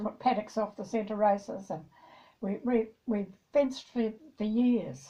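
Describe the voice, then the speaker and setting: A woman speaks at a fairly slow pace with a fairly high pitch and ordinary pitch variation. Her somewhat breathy voice has a dark, mellow tone. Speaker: former farmer. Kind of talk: interview answer.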